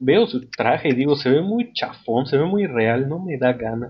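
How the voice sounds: With lively intonation, a man speaks in a voice that has a slightly husky edge. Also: medium pitch for a man, moderate pace.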